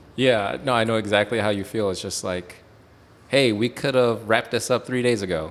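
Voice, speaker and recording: With a normal speaking voice, a man at medium pitch talks at a fairly quick pace with fairly even intonation. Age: 40s. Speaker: podcast host. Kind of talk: casual chat. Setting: in a bar.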